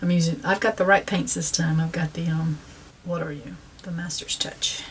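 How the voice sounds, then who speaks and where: A woman speaks in a Southern US accent at a moderate pace. Her pitch varies in an ordinary way. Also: fairly low pitch for a woman. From South Carolina, US South. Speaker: painting instructor. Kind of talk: tutorial. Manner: casual, with frequent fillers.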